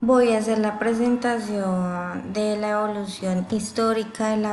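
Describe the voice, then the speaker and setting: A woman speaks at a very slow pace in a somewhat breathy, fairly high-pitched voice. Her intonation is monotone and flat, and audible room echo is present. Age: 20s. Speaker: university student. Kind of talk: class presentation. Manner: halting, with fillers.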